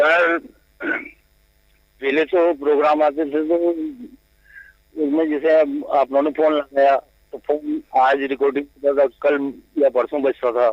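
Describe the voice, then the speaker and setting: A man with a fairly high pitch speaks in a monotone, flat way at very even loudness, leaving long, frequent pauses, in a dry, close sound with no echo. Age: 70s. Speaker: caller. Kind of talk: phone-in conversation. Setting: phone call. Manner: brief, deferential replies.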